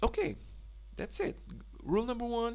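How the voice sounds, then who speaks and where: A man speaks in a Polish accent. Audible room echo surrounds his voice. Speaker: language tutor. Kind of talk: tutorial. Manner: halting.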